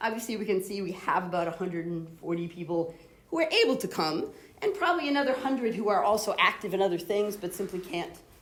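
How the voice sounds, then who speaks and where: At a very fast pace, a woman talks with lively intonation at a medium pitch. Room echo is audible, and background noise is noticeable. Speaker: academic society chair. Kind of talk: meeting address.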